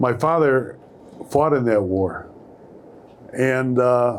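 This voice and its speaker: In a room with audible echo, a man with a Chicago accent speaks very slowly at medium pitch with lively intonation. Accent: Chicago American English. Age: 60s. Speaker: newspaper columnist. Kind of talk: live panel talk. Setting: stage with audience.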